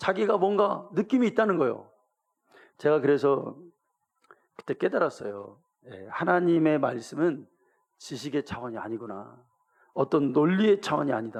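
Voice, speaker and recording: A moderate pace with long, frequent pauses, very wide pitch swings and big swings in loudness, in a Gyeongsang accent. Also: man, fairly high pitch for a man. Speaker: pastor. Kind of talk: sermon. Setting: church.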